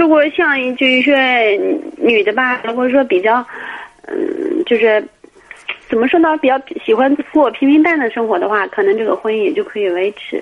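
Noticeable background noise sits behind a woman's voice. Her pitch is high, with very wide swings. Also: moderate pace. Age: 30s. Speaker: caller. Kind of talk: phone-in advice call. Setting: phone call.

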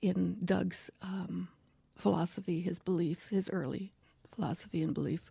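A woman speaks at a fairly slow pace in a dark, mellow tone with some vocal fry. Her pitch varies in an ordinary way. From Scotland. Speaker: actress and local heritage advocate. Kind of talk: interview conversation.

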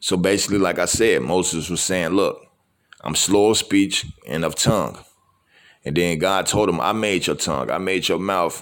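In a very clean recording with a silent background, a man speaks at a very deep, low pitch with vocal fry and ordinary pitch variation. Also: moderate pace. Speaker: podcast host giving a message. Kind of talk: sermon-style motivational talk. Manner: casual, conversational, repeats filler phrases.

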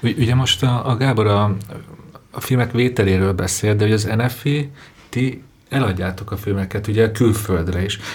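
Fairly low in pitch, a man speaks at a moderate pace with ordinary pitch variation. Noticeable background noise is present. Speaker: podcast host. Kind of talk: panel discussion. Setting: studio.

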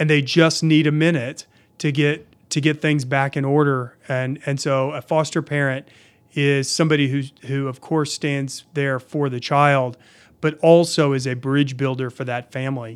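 A man's fairly high, monotone voice with flat intonation at a moderate pace, on a very clean recording with a silent background. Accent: American. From Oklahoma City, Oklahoma. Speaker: state agency director. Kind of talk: interview. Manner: hesitant, many fillers.

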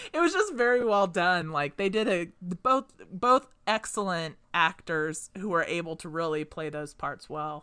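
Bright and sharp in tone, a woman speaks at a fairly low pitch and a fairly slow pace with lively intonation, big swings in loudness and hardly any pauses. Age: 30s. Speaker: podcast co-host. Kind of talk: casual chat.

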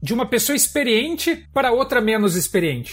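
A man at a fairly quick pace. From Brazil, Curitiba. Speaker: software engineering manager. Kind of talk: podcast interview.

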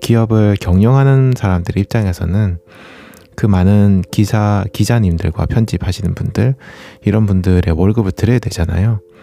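A man's relaxed, calm tone at a fairly low pitch and moderate pace, with fairly even intonation, very even loudness, and noticeable background noise. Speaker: running youtuber and podcast host. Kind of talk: casual solo monologue. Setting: home recording late at night. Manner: relaxed, calm late-night talk.

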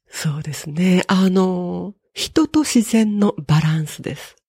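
A woman's medium-pitched, somewhat breathy voice, dark and mellow in tone, with a dry, close sound and no echo. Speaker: butoh dancer and software developer. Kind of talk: interview. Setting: at home.

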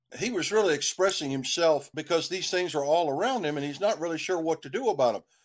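With an Appalachian accent, a man talks at a fairly quick pace and a fairly high pitch. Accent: Appalachian American. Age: 60s. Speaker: lawyer and musician. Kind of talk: interview.

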